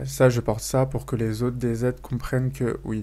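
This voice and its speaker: This man has a dark, mellow tone and keeps a moderate pace. His intonation is monotone and flat. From France. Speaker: YouTuber. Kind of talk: casual vlog monologue. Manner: casual with many fillers.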